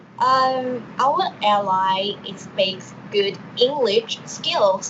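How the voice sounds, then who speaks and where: A woman's fairly high voice in a Thai accent, at a very slow pace with ordinary pitch variation, over noticeable background noise. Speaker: university student, mock interviewer. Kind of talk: role-play job interview.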